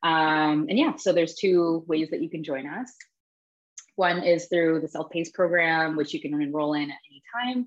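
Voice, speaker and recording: An unremarkable speaking voice from a woman with a Canadian accent, fairly low in pitch, at a moderate pace, with ordinary pitch variation and big swings in loudness. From Toronto, Canada. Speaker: human design teacher. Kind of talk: interview.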